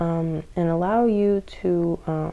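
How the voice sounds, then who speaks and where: A woman's fairly low, dark and mellow voice with ordinary pitch variation. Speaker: tarot reader. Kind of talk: tarot reading to camera. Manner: many filler words.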